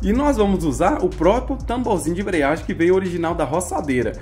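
A fairly quick delivery with faint music in the background. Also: man. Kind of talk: casual vlog chat. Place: workshop. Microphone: phone near.

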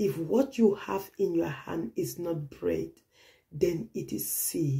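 Very slowly, a woman speaks in a dark, mellow tone with vocal fry and very wide pitch swings against a quiet background. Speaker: pastor. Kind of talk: prophetic sermon. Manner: earnest, urgent, repetitive; direct exhortation, preacherly. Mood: earnest, emotive, sometimes smiling.

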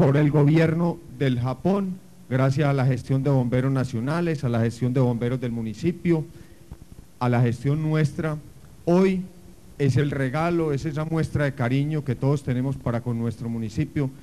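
A man at a fairly slow pace, with ordinary rise and fall in pitch. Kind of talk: formal public speech. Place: street.

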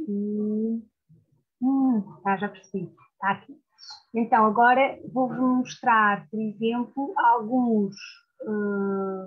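Over a quiet background, a woman with a fairly high pitch speaks at a very slow pace, with fairly even intonation and long, frequent pauses. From Portugal. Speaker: literature scholar; guest. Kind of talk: lecture with slides. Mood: warm, sometimes laughing. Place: home room. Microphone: video call.

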